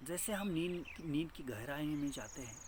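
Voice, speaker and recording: In a room with audible echo, a man speaks at a fairly high pitch. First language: Marathi (speaking Hindi). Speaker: meditation teacher. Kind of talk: spiritual talk. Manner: halting.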